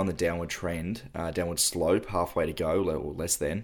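A man with an Australian accent speaks at a very deep, low pitch and a moderate pace, with fairly even intonation, in a very clean recording with a silent background. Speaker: podcast host. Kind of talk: casual chat.

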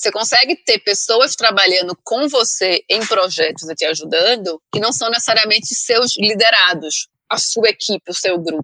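In a Pernambuco accent, a woman talks at a moderate pace with hardly any pauses, her fairly high voice bright and sharp with lively intonation, the sound dry and close with no echo. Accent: Northeastern Brazilian (Pernambuco). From Brazilian Northeast, Recife (Pernambuco). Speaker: head of communications / branding specialist. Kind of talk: interview.

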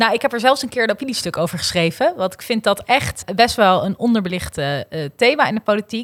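In a normal speaking voice, a woman talks at a fairly quick pace with fairly high pitch, lively intonation, big swings in loudness and hardly any pauses, in a dry, close sound with no echo. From Noord-Holland, Netherlands. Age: 20s. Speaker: young politician. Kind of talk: political discussion.

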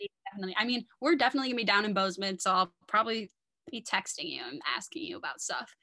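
A woman with an American accent speaks at a very fast pace in a bright, sharp tone and a fairly high pitch. Her pitch swings very widely, her loudness shifts a lot, and the sound is dry and close with no echo. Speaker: podcast guest, former date of the host. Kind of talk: casual chat.

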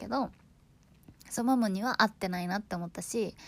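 A woman talks at a very fast pace with an animated tone and ordinary pitch variation, sounding somewhat breathy. The recording is very clean with a silent background. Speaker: podcast host. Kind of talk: casual monologue.

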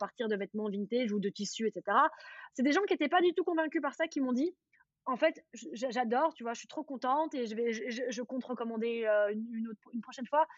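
A high-pitched woman's voice, fairly quick, with lively intonation. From Belgium, Charleroi region. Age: 30s. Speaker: influencer. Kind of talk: casual chat.

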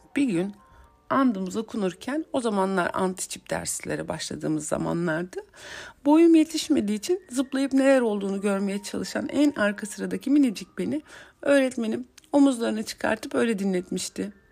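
At a fairly high pitch, a woman with a dark, mellow tone speaks at a moderate pace, her pitch swinging very widely. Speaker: psychologist podcast host. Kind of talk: personal storytelling monologue.

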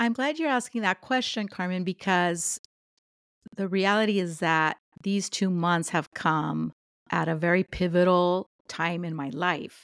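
A woman's plain, everyday voice, fairly low and fairly slow, with ordinary pitch variation, a dry, close sound with no echo and a very clean recording with a silent background. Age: 50s. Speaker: podcast co-host, home education organization leader. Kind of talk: casual chat.

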